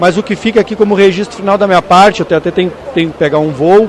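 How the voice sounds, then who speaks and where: A man talking at a very fast pace with fairly even intonation, amid noticeable background noise. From Rio Grande do Sul, Brazil (Caçapava do Sul). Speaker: pilots' union president and airline pilot. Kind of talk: radio interview. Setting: at an agricultural aviation congress.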